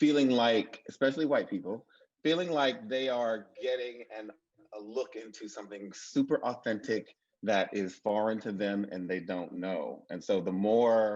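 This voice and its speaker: A man talks moderately fast, his medium pitch rising and falling in an ordinary way. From Mississippi. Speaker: TV writer. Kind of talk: panel discussion.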